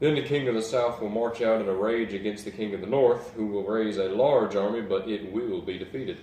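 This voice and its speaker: A man whose pitch sits fairly low speaks at a medium speed. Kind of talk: bible reading. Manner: casual, hesitant.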